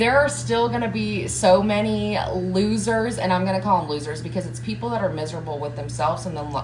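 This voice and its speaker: With a slight Southern US accent, a woman speaks at a very fast pace and with lively intonation, amid noticeable background noise and audible room echo. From US South, Georgia. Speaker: motivational coach. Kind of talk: live stream motivational talk. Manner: casual, filler-heavy.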